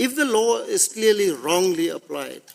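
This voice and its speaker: A man with a South African accent speaks at a high pitch with very wide pitch swings. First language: Afrikaans. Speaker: constitutional court judge. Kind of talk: court hearing questioning.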